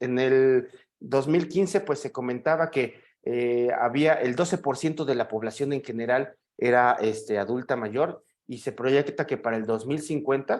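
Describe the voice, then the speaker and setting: At a fairly slow pace, a man with a Mexican accent speaks at a medium pitch with ordinary pitch variation. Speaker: psychiatrist. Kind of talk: lecture. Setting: video call. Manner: halting with fillers.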